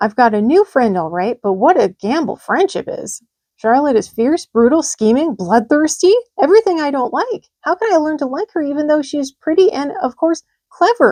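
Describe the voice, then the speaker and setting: Using a put-on character voice, a woman talks at a moderate pace with a high pitch and very wide pitch swings. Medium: read story. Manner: eager, earnest.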